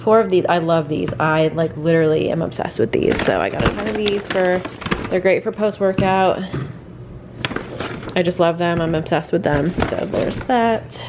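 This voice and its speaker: Background noise is noticeable throughout. The talking goes at a moderate pace. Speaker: vlogger. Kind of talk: casual vlog chat. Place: kitchen. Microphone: phone near.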